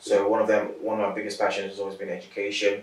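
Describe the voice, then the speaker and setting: A man's speech comes through with audible room echo and noticeable background noise. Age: 30s. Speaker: interviewee, sickle cell patient and accountant. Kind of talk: interview. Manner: measured, articulate with some hesitations.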